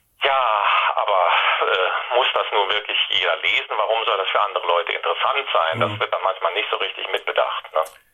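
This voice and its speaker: Noticeable background noise runs under a man's voice. He keeps a fairly quick pace and very even loudness. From Saarland, Germany. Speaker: science fiction writer and journalist. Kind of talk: interview.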